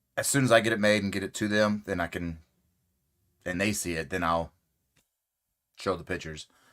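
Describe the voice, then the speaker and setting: On a very clean recording with a silent background, a man talks at a fairly quick pace in a fairly low pitch, with ordinary pitch variation and long, frequent pauses. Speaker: crochet youtuber. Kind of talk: casual live stream chat. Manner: casual, conversational normal voice.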